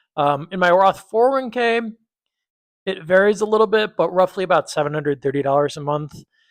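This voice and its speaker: Lively intonation and an American accent stand out against a quiet background. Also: man, high pitch for a man. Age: 30s. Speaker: personal finance video creator. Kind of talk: casual vlog talk to camera. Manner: hesitant, many fillers (um).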